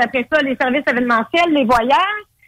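A woman's high-pitched voice with a bright, sharp tone, lively intonation and a fairly quick pace, in a dry, close sound with no echo. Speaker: dating service entrepreneur. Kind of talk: casual interview.

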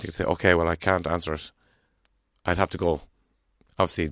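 Against a quiet background, a man with an Irish accent speaks at a very deep, low pitch in a flat monotone. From Ireland. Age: 40s. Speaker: guest with a stammer. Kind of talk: casual interview. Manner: halting.

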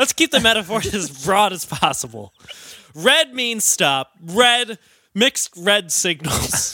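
In a dry, close recording with no echo, a man projects a raised, high-pitched voice with very wide pitch swings at a very slow pace. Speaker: podcast host. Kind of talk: casual comedy podcast chat.

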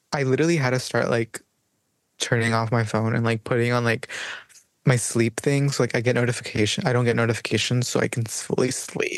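It's a man with a plain, everyday voice, medium in pitch and fairly quick, recorded dry and close with no echo. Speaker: podcast co-host. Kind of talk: casual chat.

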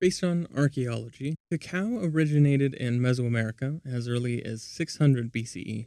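The tone is dark and mellow, with ordinary pitch variation at a moderate pace. The sound is dry and close, with no echo. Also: man. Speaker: podcast host. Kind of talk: history documentary narration, scripted and read aloud. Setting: recorded while traveling abroad. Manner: even, measured, informative.

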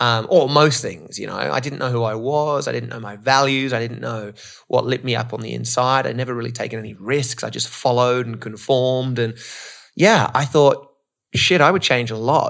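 A man with an Australian accent, medium pitch, ordinary pitch variation, big swings in loudness and a moderate pace. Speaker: motivational speaker. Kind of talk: casual interview. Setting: in-person studio.

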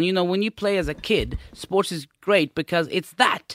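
The man's voice is high-pitched, with a bright, sharp tone. He keeps a moderate pace, and the sound is dry and close with no echo. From Sweden. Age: 30s. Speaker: podcast host. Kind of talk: casual chat.

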